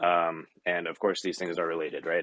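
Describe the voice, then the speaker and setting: The speaker is a man with an American accent. He keeps to a moderate pace. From US. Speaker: recruiter. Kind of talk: panel discussion. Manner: halting, many filler words.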